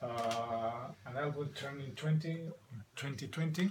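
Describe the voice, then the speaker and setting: A man's fairly slow speech in a Spanish accent, with ordinary pitch variation and noticeable background noise. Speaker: record collector vlogger. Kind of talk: casual video monologue. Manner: halting, many fillers.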